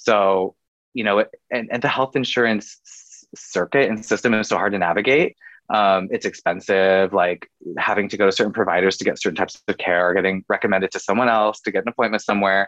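A man with a West Coast US accent speaks at a fairly quick pace, fairly low in pitch and fairly even in intonation. The sound is dry and close with no echo, over a quiet background. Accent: General American, West Coast. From US West Coast, Oregon. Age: 30s. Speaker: digital content creator and LGBTQ advocate. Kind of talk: casual interview chat.

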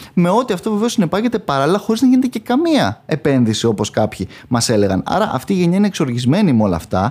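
Talking at a very fast pace with hardly any pauses, a man with a high voice makes very wide pitch swings while his loudness stays very even. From northern Greece, Chalkidiki. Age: 30s. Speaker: parliamentary candidate, lawyer. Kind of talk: political interview. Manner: halting, with many repetitions.

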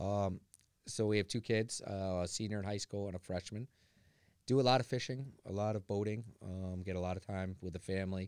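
A man with an ordinary speaking voice and an American accent, fairly low in pitch, fairly quick, with fairly even intonation, in a very clean recording with a silent background. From Connecticut, Newington. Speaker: water utility superintendent. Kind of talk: interview. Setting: conference expo floor.

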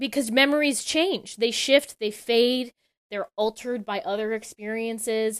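In an ordinary speaking voice, a woman talks at a fairly high pitch with ordinary pitch variation, the sound dry and close with no echo. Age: 30s. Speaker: storyboard artist and animation director. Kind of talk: interview.

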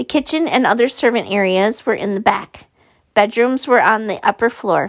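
Ordinary pitch variation marks an unforced reading voice. The background is quiet.

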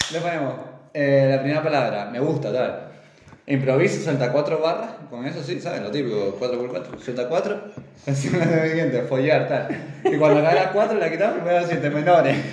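Lively intonation at a moderate pace with a slight Canarian accent, amid noticeable background noise and audible room echo. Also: man, fairly high pitch for a man. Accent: faint Canarian. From Canary Islands. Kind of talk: casual chat.

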